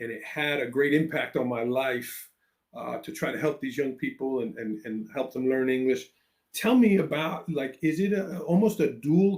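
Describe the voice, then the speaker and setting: A man in a New York accent, at a moderate pace, with lively intonation. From New York City. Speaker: education podcast host, former teacher. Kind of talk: interview. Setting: live video call.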